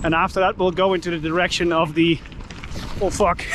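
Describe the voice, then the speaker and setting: Over noticeable background noise, a man talks at a moderate pace with a high pitch and fairly even intonation. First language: Dutch. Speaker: YouTuber, cyclist. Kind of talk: vlog narration while cycling. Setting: outdoors on a bike. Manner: casual, filler-heavy.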